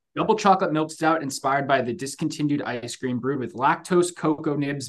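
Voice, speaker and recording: Here is a man with an ordinary speaking voice, pitched fairly high. He speaks at a fairly quick pace with ordinary pitch variation. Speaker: podcast host. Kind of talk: casual sports and beer chat.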